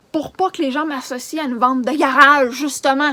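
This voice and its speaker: Noticeable background noise behind a woman's high voice. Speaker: charity organizer vlogger. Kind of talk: emotional rant vlog. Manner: agitated.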